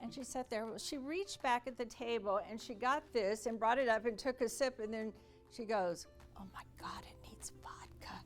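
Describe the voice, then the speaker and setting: Music plays in the background as a woman talks at a moderate pace. Her loudness swings a lot. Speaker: sales speaker. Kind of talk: motivational speech / keynote to an audience. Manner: energetic, dynamic, upbeat.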